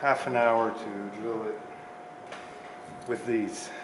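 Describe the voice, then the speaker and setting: A man with a Quebec accent at a very slow pace, over noticeable background noise. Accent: French-Canadian accent in English. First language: French. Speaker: mechanic. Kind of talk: tutorial. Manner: halting, with repeated words. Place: garage.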